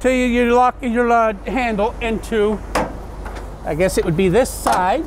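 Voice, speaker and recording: A man speaks at a moderate pace over noticeable background noise, the sound dry with no echo. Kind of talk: tutorial. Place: street.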